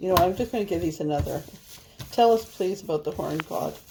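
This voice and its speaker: A woman with a Canadian prairie accent. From Canada. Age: 50s. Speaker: tarot reader. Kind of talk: tarot reading monologue. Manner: rambling casual chatty.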